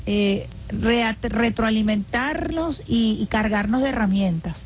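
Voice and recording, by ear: Fairly high in pitch, a woman talks at a slow pace with ordinary pitch variation.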